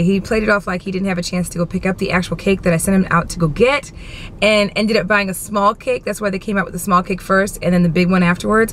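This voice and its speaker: A woman's medium-pitched, animated voice with ordinary pitch variation, against noticeable background noise. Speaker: vlogger. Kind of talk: casual vlog chat. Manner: loud.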